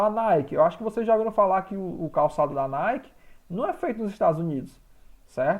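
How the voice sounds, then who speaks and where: Over a quiet background, a man speaks at a high pitch with very wide swings in it. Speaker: school teacher. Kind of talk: online class lecture.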